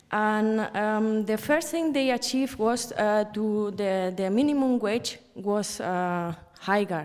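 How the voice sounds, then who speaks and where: Speaking with a Spanish accent, a woman uses a fairly high pitch, ordinary pitch variation and very even loudness at a very slow pace with hardly any pauses. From Spain. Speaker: journalist. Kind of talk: panel talk. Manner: halting.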